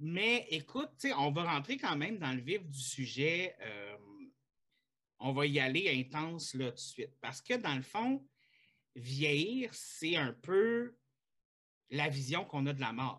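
This man's voice is fairly high, bright and sharp, with very wide pitch swings. He talks very slowly, with long, frequent pauses. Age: 30s. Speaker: podcast host. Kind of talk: casual chat.

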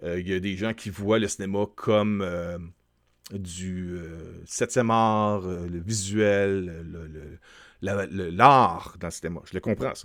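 A man with a Quebec accent speaks at a very slow pace, his very deep, low pitch carried by fairly even intonation and big swings in loudness. The recording is very clean, with a silent background. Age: 40s. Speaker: YouTube film commentator. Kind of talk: solo video commentary. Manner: hesitant, many fillers.

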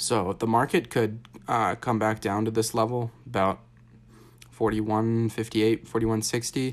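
A man at a moderate pace, monotone and flat in intonation, with very even loudness. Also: medium pitch for a man. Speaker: daily markets podcast host. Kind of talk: solo market commentary with chart walkthrough. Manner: casual, many fillers and self-corrections.

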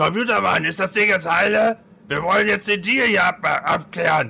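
Using a put-on character voice, a man speaks at a high pitch with very even loudness. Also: moderate pace. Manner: pushy, impatient.

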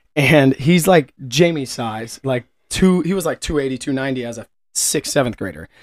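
In a Midwestern American accent, a man talks at a moderate pace with ordinary pitch variation and big swings in loudness, in a dry, close sound with no echo. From Kansas City area, US Midwest. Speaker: podcast co-host, business manager. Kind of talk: casual chat.

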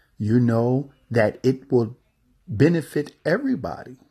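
A somewhat breathy, dark and mellow voice with lively intonation against a quiet background. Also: man. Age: 40s. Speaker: podcast host and travel specialist. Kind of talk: motivational monologue. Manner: halting with many fillers and repetitions.

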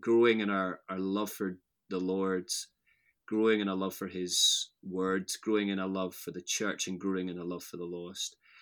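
Very deep and low, a man's voice holds a monotone, flat intonation at a moderate pace. The recording is very clean, with a silent background. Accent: west of Scotland. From Scotland, near Glasgow. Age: 30s. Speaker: pastor. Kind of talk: casual chat.

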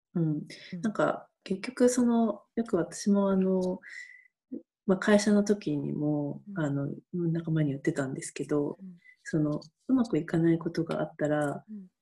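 A woman speaks at a moderate pace with a fairly low pitch and lively intonation. Her voice is somewhat breathy, with a dark, mellow tone. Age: 50s. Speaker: camp manager, freelancer. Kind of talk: interview.

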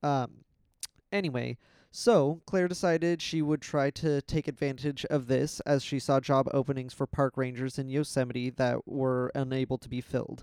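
A man of medium pitch talks at a moderate pace in an unremarkable speaking voice with fairly even intonation. The sound is dry and close with no echo, on a very clean recording with a silent background. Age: 20s. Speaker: podcast co-host telling inspirational stories. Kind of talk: casual storytelling chat.

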